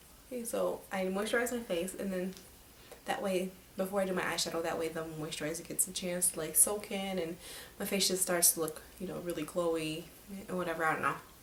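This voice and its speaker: A woman's medium-pitched voice at a fairly quick pace, with ordinary pitch variation, audible room echo and noticeable background noise. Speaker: beauty vlogger. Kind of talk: makeup tutorial. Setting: home at night. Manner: speaking quietly; casual, filler-heavy.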